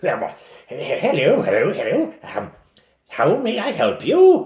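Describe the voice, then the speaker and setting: Putting on a character voice, a man speaks at an extremely high pitch and a fairly slow pace. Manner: fussy, officious.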